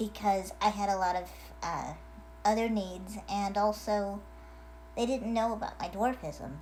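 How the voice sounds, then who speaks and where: Speaking at a medium pitch and a fairly slow pace, a woman sounds somewhat breathy. Her intonation stays fairly even, and the room echo is audible. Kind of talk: casual video message. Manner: hesitant, many fillers.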